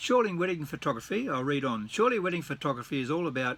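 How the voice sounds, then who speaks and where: A man with an Australian accent, fairly high-pitched, bright and sharp in tone, at a fairly quick pace. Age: 70s. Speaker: retired wedding photographer. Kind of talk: casual vlog, partly reading aloud from his blog. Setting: at home, reading from his computer. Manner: halting, with repeated words.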